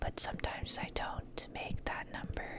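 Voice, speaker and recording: Someone whispers over noticeable background noise. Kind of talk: ASMR gameplay commentary. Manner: whispered.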